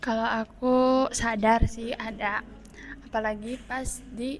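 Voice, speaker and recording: A woman speaks at a fairly high pitch in a somewhat breathy voice. Her intonation stays monotone and flat. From Sundanese region, West Java, Indonesia. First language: Sundanese mixed with Javanese (speaking Indonesian). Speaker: student interviewee. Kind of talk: interview answers.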